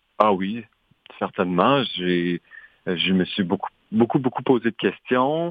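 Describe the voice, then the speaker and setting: A man with a fairly low pitch speaks at a very slow pace, leaving long, frequent pauses. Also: lively intonation. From Saskatchewan, Canadian prairies. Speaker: dancer and choreographer. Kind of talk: radio interview.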